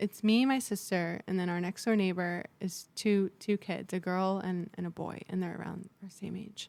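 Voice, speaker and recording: A woman speaks at a fairly slow pace in an American accent. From San Diego, US. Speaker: podcast guest. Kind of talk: casual chat. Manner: loud; talkative.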